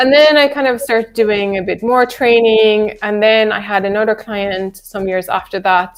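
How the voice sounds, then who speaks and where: Music plays in the background. A woman speaks with a Swedish accent. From Sweden. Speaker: nutrition counsellor. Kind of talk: live stream Q&A chat. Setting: live video stream.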